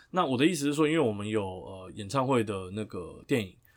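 A man with a plain, everyday voice talks at a fairly quick pace and a fairly low pitch, with lively intonation. The recording is very clean, with a silent background. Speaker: lawyer co-host. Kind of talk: casual legal discussion.

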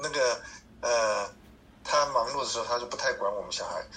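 Noticeable noise fills the background. Through it, a man's voice is heard. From Taiwan (Hsinchu). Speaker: cancer patient, church volunteer. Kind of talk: interview. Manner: halting, frequent fillers and stutters; gentle, mild-mannered.

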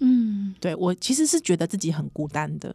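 A dark, mellow tone at a moderate pace. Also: woman. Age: 30s. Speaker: podcast host. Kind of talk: casual chat. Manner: animated.

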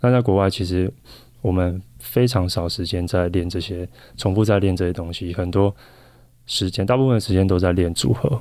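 The voice has a dark, mellow tone, ordinary pitch variation and a moderate pace. It is a very clean recording with a silent background. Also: man, very deep, low pitch for a man. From Taiwan. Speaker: professional volleyball player. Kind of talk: interview.

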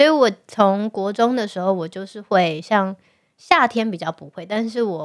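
Delivered at a fairly slow pace, the speech carries a Taiwanese accent and ordinary pitch variation. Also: woman. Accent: Taiwanese Mandarin. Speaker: podcast co-host. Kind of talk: casual chat. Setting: studio.

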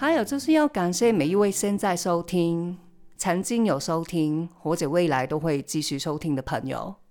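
A woman speaks at a moderate pace with lively intonation and a fairly low pitch. Music plays in the background. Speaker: podcast host, tarot reader and family constellation facilitator. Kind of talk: solo podcast monologue.

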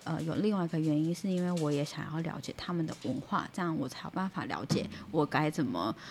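A woman with a Taiwanese accent speaks at a very deep, low pitch with ordinary pitch variation. Her pace is fairly quick, with hardly any pauses. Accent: Taiwanese Mandarin. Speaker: nurse. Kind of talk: casual chat.

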